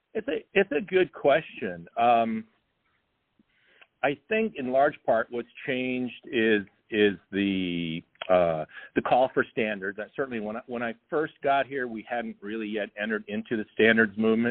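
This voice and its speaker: A man with an American accent has an unremarkable speaking voice, talking at a fairly slow pace with a medium pitch and ordinary pitch variation. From Southern California. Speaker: social studies teacher. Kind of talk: interview.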